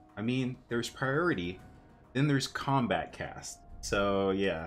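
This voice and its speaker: Mid-range male speech accompanied by background music. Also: lively intonation, fairly slow pace. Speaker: gaming streamer. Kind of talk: live stream commentary. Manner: animated.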